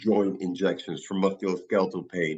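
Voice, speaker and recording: In a New York accent, a man talks at a moderate pace with a very deep, low pitch. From New York City, the Bronx. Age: 60s. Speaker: physician running wellness clinics. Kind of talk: podcast interview.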